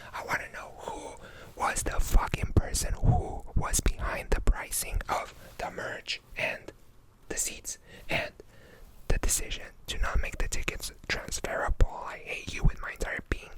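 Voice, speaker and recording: A man whispers at a fairly slow pace, with big swings in loudness. There is noticeable background noise. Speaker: YouTuber / ASMR creator. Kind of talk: ranting storytime to camera. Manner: angry, sweary, exasperated.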